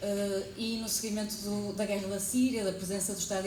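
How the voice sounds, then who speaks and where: A woman with a European Portuguese accent talks at a moderate pace. The recording has audible room echo and noticeable background noise. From Portugal. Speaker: psychologist and academic researcher. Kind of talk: conference talk.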